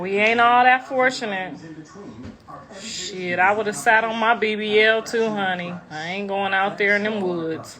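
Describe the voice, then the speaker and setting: A woman with a medium-pitched voice speaks at a fairly slow pace with ordinary pitch variation over noticeable background noise. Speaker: rapper's mother and social media personality. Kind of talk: casual livestream chat. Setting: live stream. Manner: loud; animated.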